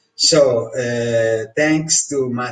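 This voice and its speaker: A man with a strong Italian accent, somewhat breathy, at a medium pitch and a very slow pace. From Italy. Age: 60s. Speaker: course customer reviewer. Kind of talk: testimonial review. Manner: hesitant, many fillers.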